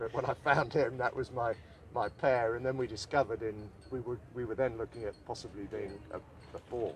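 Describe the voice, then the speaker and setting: A somewhat breathy man speaks at a medium pitch. His pace is fairly quick and his intonation fairly even. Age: 60s. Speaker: ocean rowing adventurer. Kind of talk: live interview. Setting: outdoors by the boat.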